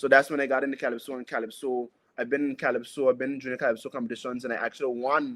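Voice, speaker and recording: Very fast and with an Anguillan accent, a man speaks at a medium pitch. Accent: Anguillan Caribbean English. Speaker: soca singer. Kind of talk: interview.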